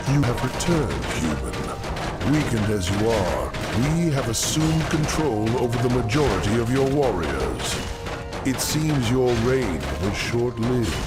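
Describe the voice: Cartoonish character voice from a man at a moderate pace, loud music in the background.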